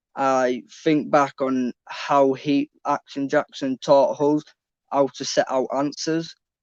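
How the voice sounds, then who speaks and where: A man with a Yorkshire accent speaks very slowly in a flat monotone at a fairly high pitch, the sound dry and close with no echo. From northern England, Leeds. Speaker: trainee bricklayer, former student. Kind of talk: interview on live online event.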